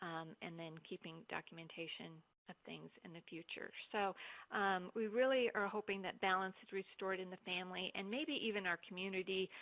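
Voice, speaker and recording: At a fairly quick pace, a woman speaks in a medium pitch with ordinary pitch variation, the sound dry and close with no echo. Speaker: counselor presenting to probation officers. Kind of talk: webinar presentation. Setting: online webinar. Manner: hesitant, many fillers.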